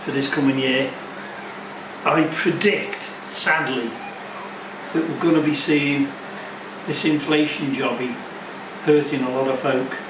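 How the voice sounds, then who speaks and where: A man speaks at a fairly slow pace in a fairly high pitch with fairly even intonation and long, frequent pauses, with audible room echo and noticeable background noise. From northern England, Merseyside. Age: old. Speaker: motorbike vlogger. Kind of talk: casual vlog monologue. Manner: halting, many fillers and repeats.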